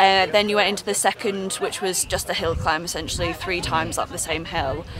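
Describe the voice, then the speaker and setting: A woman at a moderate pace with fairly even intonation, a dry sound with no echo and noticeable background noise. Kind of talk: interview answer. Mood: cheerful, post-race. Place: car.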